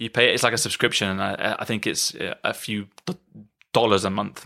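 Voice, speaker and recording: A man with a British accent speaks at a moderate pace in a fairly low pitch and monotone, flat intonation, on a very clean recording with a silent background. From UK. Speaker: podcast host, musician. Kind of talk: casual chat. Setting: band retreat in countryside house.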